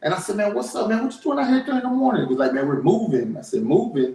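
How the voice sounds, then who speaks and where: A loud male voice with very wide pitch swings. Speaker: small business owner. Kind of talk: casual chat. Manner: animated.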